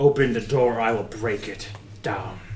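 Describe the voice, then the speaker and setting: Clear background noise beneath a put-on character voice at moderate speed. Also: man, medium pitch for a man. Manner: regal, commanding.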